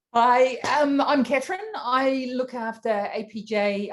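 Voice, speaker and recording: This woman speaks in a New Zealand accent. Her pitch varies in an ordinary way. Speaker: tech executive, panelist. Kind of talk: panel discussion. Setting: online video event.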